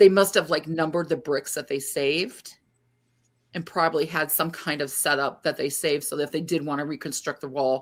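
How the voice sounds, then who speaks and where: A woman with an American accent talks at a fairly quick pace in a very deep, low voice with fairly even intonation, on a very clean recording with a silent background. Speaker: paranormal podcast co-host. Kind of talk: podcast chat presenting research. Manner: hesitant, many fillers.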